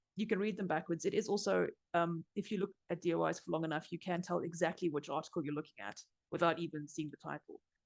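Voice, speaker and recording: A woman speaks at a very fast pace in a fairly low pitch, with vocal fry. Her pitch moves in an ordinary way, and the sound is dry and close with no echo. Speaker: journal platform staff presenter. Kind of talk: webinar presentation.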